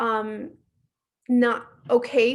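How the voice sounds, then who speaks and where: A woman speaks at a high pitch. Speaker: workshop instructor. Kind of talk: online workshop presentation. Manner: fast.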